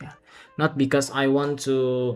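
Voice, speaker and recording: With a non-native accent, the speaker goes at a very slow pace over music in the background. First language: not English. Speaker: streamer. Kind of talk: live stream chat. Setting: live stream. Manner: halting.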